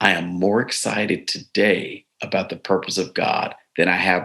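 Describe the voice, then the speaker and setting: With an American accent and a bright, sharp tone, the speaker talks at a fairly slow pace in a flat monotone. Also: man. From US South, East Tennessee. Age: 60s. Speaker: bishop. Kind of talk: interview conversation. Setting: live webinar.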